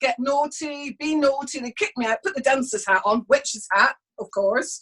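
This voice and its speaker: A woman talks in a high voice. Her pitch varies in an ordinary way. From Scotland, Highlands (Inverness). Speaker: witchcraft teacher and author. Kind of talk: interview conversation.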